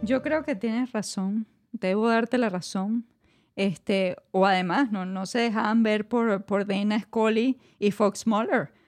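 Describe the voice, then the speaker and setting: Against a quiet background, a woman talks at a very slow pace in a fairly high pitch. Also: ordinary pitch variation. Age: 30s. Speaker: podcast co-host. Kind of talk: casual chat.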